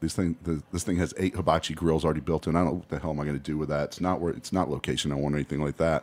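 A man with a very deep, low pitch and vocal fry speaks at a very fast pace with fairly even intonation. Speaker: bar owner. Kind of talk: casual interview chat.

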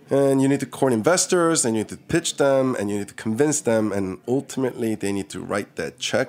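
A man with a slight Korean accent talks at a fairly quick pace with lively intonation and hardly any pauses. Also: medium pitch for a man. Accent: Korean-American, slight Korean. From born in Seoul, raised from 13 on Long Island, New York. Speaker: restaurant owner. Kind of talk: interview.

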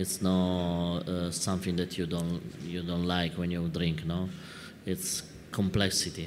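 A man speaks at a fairly slow pace in an Italian accent. His very deep, low voice stays monotone and flat. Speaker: wine importer moderating a talk. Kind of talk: live talk-tasting conversation. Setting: stage with audience at a wine fair.

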